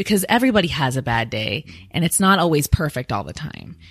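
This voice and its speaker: Recorded very cleanly against a silent background, a woman with an American accent speaks at a fairly quick pace in a very deep, low pitch, with vocal fry and a bright, sharp tone. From Washington State, US. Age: 20s. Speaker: influencer and musician. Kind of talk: interview. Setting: studio. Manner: animated.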